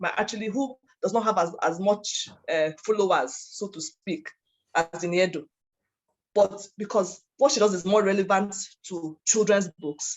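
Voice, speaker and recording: The woman's pitch is medium. It rises and falls in an ordinary way. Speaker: workshop presenter, author coach. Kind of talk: workshop lecture. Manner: fast.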